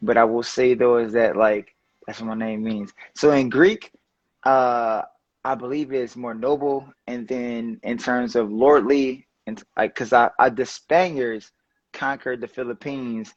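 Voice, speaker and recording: Speaking at a fairly slow pace with a New Orleans accent, a man keeps fairly even intonation at medium pitch while his loudness swings widely. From New Orleans, Seventh Ward. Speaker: political activist and lawyer. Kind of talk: casual interview. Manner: casual, hesitant with fillers.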